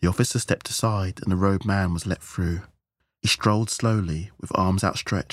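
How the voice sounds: Against a quiet background, someone speaks in a natural reading voice.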